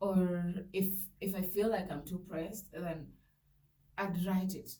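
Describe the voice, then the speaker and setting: Soft-spoken and somewhat breathy, a woman talks in a dark, mellow tone at medium pitch, fairly slowly and in a monotone with flat intonation, with audible room echo. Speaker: vlogger. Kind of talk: personal testimony. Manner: halting.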